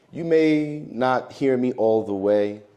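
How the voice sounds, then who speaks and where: Speaking at a medium pitch, a man has a dark, mellow tone. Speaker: keynote speaker. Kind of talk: keynote speech. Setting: stage with audience. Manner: animated.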